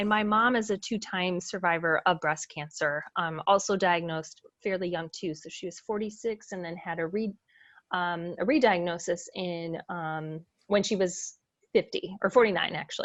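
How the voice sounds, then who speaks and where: With a normal speaking voice, a woman talks at a moderate pace and medium pitch, her pitch varying in an ordinary way while her loudness swings widely, against a quiet background. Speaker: podcast host, breast cancer survivor. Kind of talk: casual interview chat.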